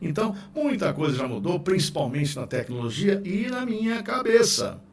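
Very wide pitch swings at a moderate pace, with noticeable background noise. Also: man. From Rio de Janeiro. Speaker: radio announcer and podcast host. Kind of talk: narrated book reading with casual asides. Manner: trained announcer delivery.

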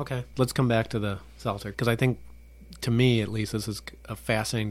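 A man's medium-pitched, monotone voice with flat intonation at a moderate pace, on a very clean recording with a silent background. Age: 50s. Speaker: podcast host and marketing professor. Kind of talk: casual chat.

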